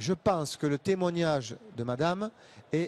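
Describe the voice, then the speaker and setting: Lively intonation in a dry, close sound with no echo. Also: man. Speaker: association representative for the visually impaired. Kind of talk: panel debate.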